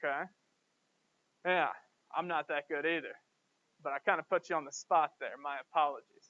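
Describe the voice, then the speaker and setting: A man talks with a Southern US accent. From US South, Georgia. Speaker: professor. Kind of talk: lecture. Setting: classroom.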